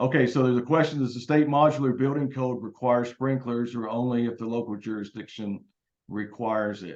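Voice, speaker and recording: Fairly even intonation and a fairly quick pace from a man of medium pitch, with a plain, everyday voice. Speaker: state building code official. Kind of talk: panel presentation.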